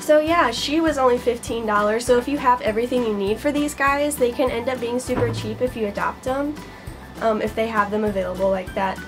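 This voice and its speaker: Clear music plays behind a woman who talks at a moderate pace with ordinary pitch variation. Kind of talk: casual vlog chat. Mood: cheerful, laughing at times. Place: home room. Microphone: camera far.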